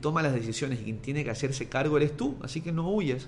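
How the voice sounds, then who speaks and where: Somewhat breathy, a man speaks with ordinary pitch variation amid audible room echo. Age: 30s. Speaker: sports journalist and podcaster. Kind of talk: motivational monologue.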